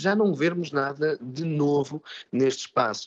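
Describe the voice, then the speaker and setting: A man's voice, dry and close with no echo. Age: 30s. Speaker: actor and drama teacher. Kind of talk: radio interview. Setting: live broadcast from a theatre workshop. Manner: halting, many repetitions.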